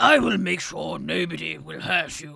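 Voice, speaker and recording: A man speaks at a moderate pace in a put-on character voice that is raspy and gruff. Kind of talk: posh. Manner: wise.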